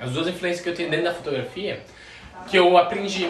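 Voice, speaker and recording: A high-pitched man's voice with audible room echo and noticeable background noise. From Goiânia, Brazil. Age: 20s. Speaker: immigrant. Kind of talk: casual chat.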